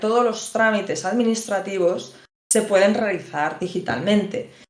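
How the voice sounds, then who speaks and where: Amid audible room echo, a woman speaks fairly slowly at a fairly high pitch. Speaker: lawyer. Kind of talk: lecture.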